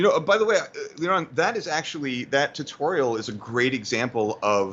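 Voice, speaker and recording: In a New York accent, a man talks at a fairly quick pace, his fairly high voice making very wide pitch swings. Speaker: motion graphics tutorial creator. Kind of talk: tutorial. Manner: fast.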